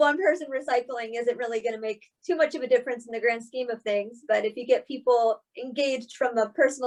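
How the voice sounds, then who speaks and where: A woman's high voice at a moderate pace, with ordinary pitch variation. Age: 20s. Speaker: college student. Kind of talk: casual chat.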